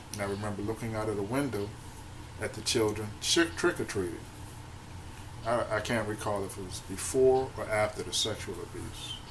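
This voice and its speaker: A fairly low-pitched man with ordinary pitch variation, amid noticeable background noise and audible room echo. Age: 50s. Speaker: abuse survivor vlogger. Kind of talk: personal testimony vlog. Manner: halting.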